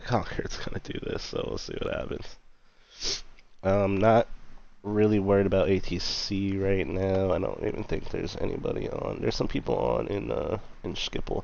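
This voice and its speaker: A man talks at a moderate pace. Audible room echo can be heard around his voice. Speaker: flight sim streamer. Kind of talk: casual live stream commentary. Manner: casual, animated; quiet, subdued.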